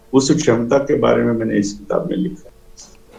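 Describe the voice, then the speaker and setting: Lively intonation with vocal fry. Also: man. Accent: Telangana. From India, Andhra Pradesh. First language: Telugu (speaking Hindi). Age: 60s. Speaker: author. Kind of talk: interview. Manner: hesitant.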